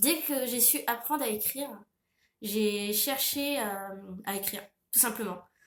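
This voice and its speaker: A woman's fairly high voice at a fairly slow pace, ordinary pitch variation, long and frequent pauses, and audible room echo. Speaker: author and illustrator. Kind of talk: Q&A monologue to camera. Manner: hesitant, many fillers.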